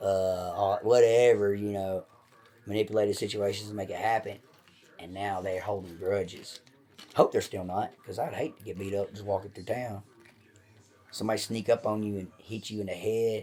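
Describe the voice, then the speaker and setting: A man's fairly low voice at a moderate pace, with big swings in loudness. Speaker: podcast host. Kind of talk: casual chat. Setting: at home. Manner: animated.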